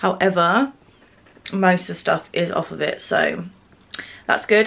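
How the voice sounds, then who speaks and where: A woman with a British accent speaks at a moderate pace. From UK. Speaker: vlogger. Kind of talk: casual vlog diary. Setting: bedroom at night. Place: home room. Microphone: phone near.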